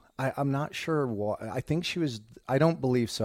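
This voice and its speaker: On a very clean recording with a silent background, a man with an American accent and an unremarkable speaking voice talks at a moderate pace with lively intonation. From US Midwest, Indiana. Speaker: rock guitarist. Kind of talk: interview.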